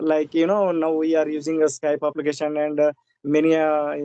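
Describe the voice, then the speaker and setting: With a dark, mellow tone and fairly high pitch, a man speaks in a monotone, flat way at a fairly quick pace, the sound dry and close with no echo. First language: Indian regional language. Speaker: English learner, government employee. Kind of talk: casual conversation practice. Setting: video call. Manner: halting, many fillers.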